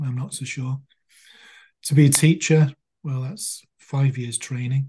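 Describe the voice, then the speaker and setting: A man's somewhat breathy voice, fairly high in pitch with a dark, mellow tone, moves at a moderate pace with fairly even intonation. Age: 60s. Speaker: clinical hypnotherapist. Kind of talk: interview. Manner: soothing.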